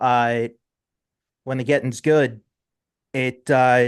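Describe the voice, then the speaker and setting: A man speaks with a strong New Jersey accent. The sound is dry and close with no echo, over a quiet background. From South Jersey, US. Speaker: metal podcast host. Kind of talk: casual interview chat. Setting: live internet radio show. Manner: casual, halting with fillers.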